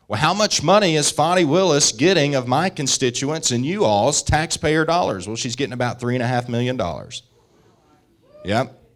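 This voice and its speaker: A man with a Southern US accent, a fairly high pitch and lively intonation. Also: moderate pace. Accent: Southern US (Georgia). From US South, rural northwest Georgia mountains. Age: 30s. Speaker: state senator. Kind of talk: political speech.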